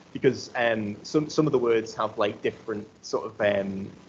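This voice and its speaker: A man with a Geordie accent speaks with fairly even intonation. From North East England. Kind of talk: academic conference talk. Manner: hesitant, casual.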